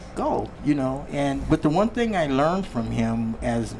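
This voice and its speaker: Speaking at a moderate pace, a man can be heard through noticeable background noise. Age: 60s. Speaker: personal trainer. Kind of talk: casual chat.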